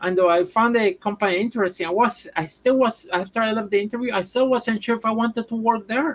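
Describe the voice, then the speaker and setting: A woman talks at a very fast pace with a Puerto Rican accent. Her pitch is fairly high, with ordinary variation. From Puerto Rico. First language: Spanish. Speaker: professional wrestler. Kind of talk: casual chat.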